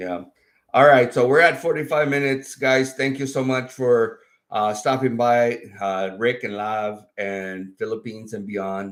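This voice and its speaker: The delivery is fairly slow with ordinary pitch variation, on a very clean recording with a silent background. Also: man, medium pitch for a man. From Mexico / Arizona border town. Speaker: YouTuber. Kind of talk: casual chat. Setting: livestream. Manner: loud; animated.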